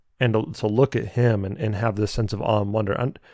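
A man with a normal speaking voice at a medium pitch and a fairly quick pace, against a quiet background. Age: 20s. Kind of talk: solo teaching talk. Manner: conversational, with frequent repetitions.

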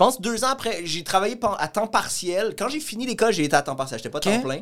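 A man speaks in a Quebec accent with very wide pitch swings. The recording is very clean with a silent background. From Montreal. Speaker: comedian. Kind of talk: casual chat, podcast interview.

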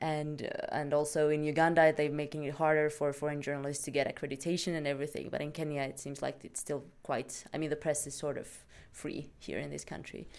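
A woman with a Swedish accent, her very deep, low voice monotone and flat, at a fairly quick pace. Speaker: podcast host. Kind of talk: casual chat.

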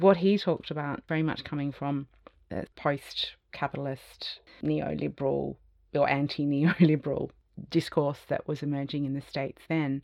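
A woman with an Australian accent, very deep and low in pitch, fairly even in intonation, at a moderate pace against a quiet background. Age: 50s. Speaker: design academic and futurist. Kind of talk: interview conversation.

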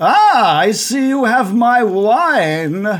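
Using a put-on character voice, a man speaks at a high pitch with very wide pitch swings. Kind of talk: noble, refined. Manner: aristocratic, genteel.

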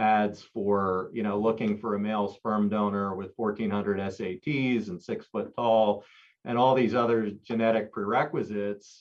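Speaking with an American accent, a man with a fairly low pitch keeps a moderate pace and fairly even intonation. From US, Philadelphia. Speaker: executive director of a pro-life organization. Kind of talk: interview. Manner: halting, frequent repetitions and fillers.

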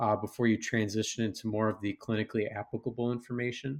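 A man with an American accent speaks at a fairly quick pace, his pitch medium and his intonation flat and monotone. The recording is very clean, with a silent background. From Chicago area, Illinois. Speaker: resident physician. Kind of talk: interview. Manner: halting, many fillers.

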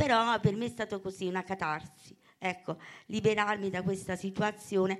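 A woman talks at a moderate pace in an unremarkable speaking voice, pitched medium for a woman. The recording is very clean, with a silent background. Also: fairly even intonation. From Basilicata, Italy (Calvello). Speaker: poet and author. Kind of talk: poetry reading and interview.

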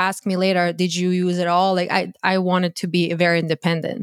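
On a very clean recording with a silent background, a woman with a Croatian accent speaks at a medium pitch in a dry, close sound with no echo. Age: 30s. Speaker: content creator and dating coach. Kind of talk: casual interview chat.

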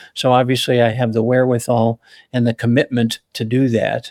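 A man's ordinary speaking voice with an American accent, medium pitch and a moderate pace, dry and close with no echo, in a very clean recording with a silent background. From Chicago area. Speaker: retired pediatrician and geneticist. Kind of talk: interview storytelling.

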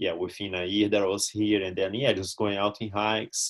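With a non-native accent, a man talks in a fairly low pitch and monotone, flat intonation. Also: quiet background. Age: 30s. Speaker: long-distance hiker. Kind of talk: casual interview. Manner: hesitant, many fillers.

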